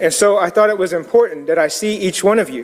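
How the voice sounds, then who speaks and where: The voice carries an American accent. Its pitch variation is ordinary. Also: man. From US Southeast, Muscogee community. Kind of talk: public comment at city council. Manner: formal, solemn.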